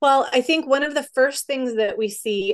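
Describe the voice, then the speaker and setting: A woman speaks at a moderate pace with ordinary pitch variation over a quiet background. She has a plain, everyday voice. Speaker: educational psychologist and counselor. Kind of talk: interview.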